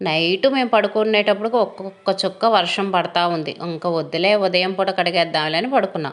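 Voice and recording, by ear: A woman talks at a fast pace in a fairly low voice, her intonation fairly even.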